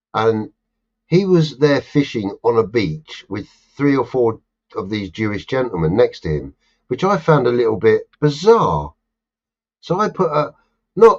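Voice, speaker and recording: With a London accent, a man talks in very wide pitch swings. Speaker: live stream host. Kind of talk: casual chat. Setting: live stream. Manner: animated.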